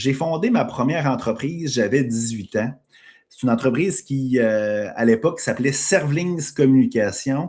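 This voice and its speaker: With a Quebec accent, a man talks at a fairly slow pace using lively intonation. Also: medium pitch for a man. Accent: Québécois French. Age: 40s. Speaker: podcast host and entrepreneur. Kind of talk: live stream monologue. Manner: casual, filler-heavy.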